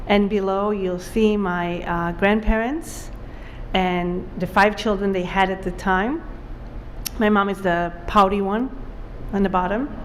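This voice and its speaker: Speaking at a fairly slow pace with long, frequent pauses, a woman with an Israeli accent holds a medium pitch and fairly even intonation while audible room echo surrounds her. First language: Hebrew. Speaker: author. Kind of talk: author talk with slides. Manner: casual with many fillers.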